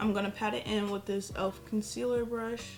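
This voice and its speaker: A woman talks at a fairly quick pace. Clear music is heard behind her. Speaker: beauty vlogger. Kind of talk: makeup tutorial talk to camera. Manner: casual. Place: home room. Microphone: phone near.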